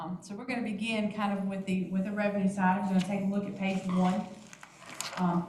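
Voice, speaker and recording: Amid noticeable background noise and audible room echo, a woman talks at a very fast pace in a medium pitch with monotone, flat intonation. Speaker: finance staff presenting budget. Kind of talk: budget presentation at board meeting.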